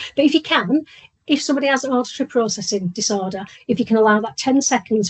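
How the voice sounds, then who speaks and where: Talking at a very fast pace, a woman sounds somewhat breathy, with ordinary pitch variation. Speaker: workplace inclusion trainer. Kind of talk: presentation. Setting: video call.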